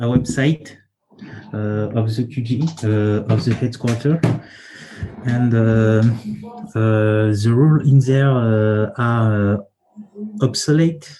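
With a strong French accent, the speaker goes at a very slow pace, using ordinary pitch variation and long, frequent pauses. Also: man, medium pitch for a man. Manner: halting, searching for English words.

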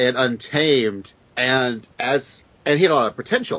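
A man with a plain, everyday voice, medium pitch, ordinary pitch variation and an American accent. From US South. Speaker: guest co-host filling in. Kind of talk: casual chat.

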